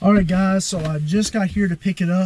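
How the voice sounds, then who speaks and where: With a somewhat breathy quality, a man's speech runs fairly quickly and shows ordinary pitch variation. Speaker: car enthusiast vlogger. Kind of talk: casual vlog.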